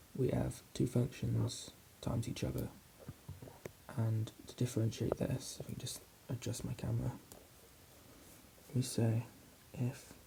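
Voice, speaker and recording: Whispering and soft-spoken, a man talks at a fairly slow pace with long, frequent pauses. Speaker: maths student doing ASMR. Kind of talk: ASMR whispered maths tutorial. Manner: soft-spoken, whispering.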